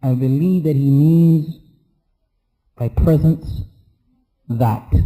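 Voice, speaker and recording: This somewhat breathy voice has a dark, mellow tone and ordinary pitch variation, delivered at a very slow pace. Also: man. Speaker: Islamic teacher. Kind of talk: lecture.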